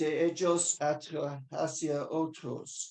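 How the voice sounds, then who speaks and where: The delivery comes at a very slow pace. The speaker has a non-native accent. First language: not Spanish (speaking Spanish). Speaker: webinar moderator. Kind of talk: webinar moderation. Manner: halting, many fillers.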